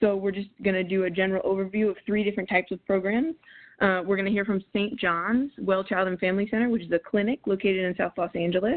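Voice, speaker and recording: The woman's pitch is medium and her pace very fast. She keeps her intonation fairly even. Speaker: webinar moderator. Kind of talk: webinar moderation. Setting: online webinar.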